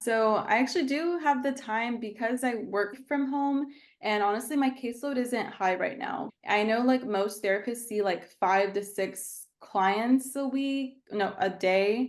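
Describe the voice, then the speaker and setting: Speaking with a Texan accent, a woman keeps a fairly high pitch and a fairly slow pace, with ordinary pitch variation and hardly any pauses. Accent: Texan American English. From Texas, San Angelo. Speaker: therapist and coach. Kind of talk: casual chat.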